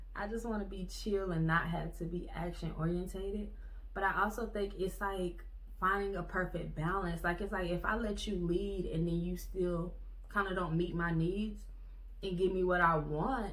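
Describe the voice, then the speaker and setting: A woman's medium-pitched voice with fairly even intonation, amid noticeable background noise and audible room echo. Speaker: vlogger. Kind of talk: casual monologue. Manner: fast.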